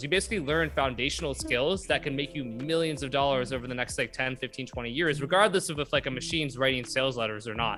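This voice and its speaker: Over music in the background, a man speaks at a very fast pace with a medium pitch and ordinary pitch variation. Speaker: copywriter and entrepreneur. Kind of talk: casual interview chat.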